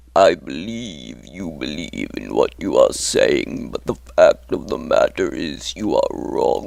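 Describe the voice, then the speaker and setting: Using a put-on character voice, a man speaks in a menacing tone at a fairly slow pace. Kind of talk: character monologue. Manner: slow, menacing.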